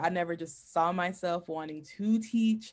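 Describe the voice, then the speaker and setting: Speaking with an American accent, this is an ordinary speaking voice with ordinary pitch variation. The pace is fairly slow and the background is quiet. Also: woman. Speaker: former teacher, doctoral student. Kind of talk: casual interview.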